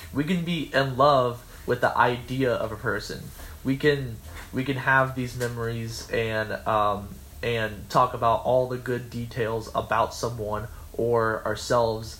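An unremarkable speaking voice from a man, medium in pitch, fairly even in intonation and fairly slow in pace. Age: 20s. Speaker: college radio podcast host. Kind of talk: casual chat.

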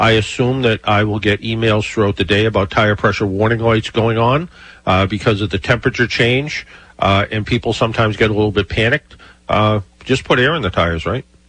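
A plain, everyday voice, a man at a fairly quick pace with ordinary pitch variation. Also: fairly low pitch for a man. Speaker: radio host, car expert. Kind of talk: radio call-in show. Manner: casual, filler-heavy.

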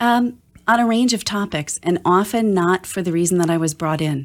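In a very clean recording with a silent background, a woman with a fairly low pitch uses a normal speaking voice at a moderate pace. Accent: American. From Wisconsin, US (Oshkosh). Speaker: digital strategy consultant. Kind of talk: interview.

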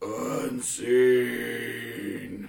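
A put-on character voice growls in a low pitch, raspy and guttural. A slight echo trails the sound. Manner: low, gruff.

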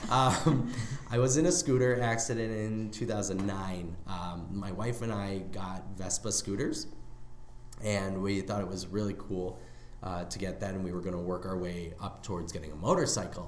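A man with an American accent, fairly low pitch and ordinary pitch variation, in a room with audible echo. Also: moderate pace. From Chicago, US Midwest. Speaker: comedy podcast host. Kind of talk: casual chat.

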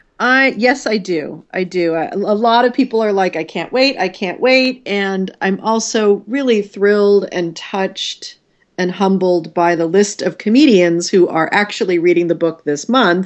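Using a plain, everyday voice, a woman speaks at a fairly slow pace with hardly any pauses. Her pitch is medium, with ordinary variation. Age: 50s. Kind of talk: casual interview.

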